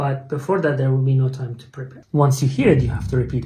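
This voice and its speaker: In a Persian accent, a man speaks in a fairly high, somewhat breathy voice with a dark, mellow tone. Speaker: English teacher. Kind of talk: tutorial. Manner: hesitant, with fillers.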